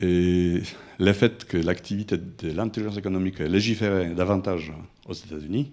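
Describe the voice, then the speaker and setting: A man with a non-native accent talks in a very deep, low voice with fairly even intonation. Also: moderate pace. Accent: foreign. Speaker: student asking questions. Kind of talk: audience question.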